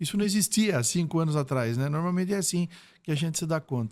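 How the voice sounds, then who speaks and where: In a very clean recording with a silent background, a man with a plain, everyday voice and a fairly high pitch talks at a fairly quick pace with ordinary pitch variation. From Brazil, Sorocaba (São Paulo state). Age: 60s. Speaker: retired police chief. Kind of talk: podcast interview.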